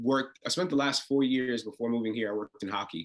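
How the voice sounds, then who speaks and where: A man talks with a New York accent. His pitch varies in an ordinary way. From Brooklyn, New York. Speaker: reality TV contestant. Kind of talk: interview. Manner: halting, many repetitions and fillers.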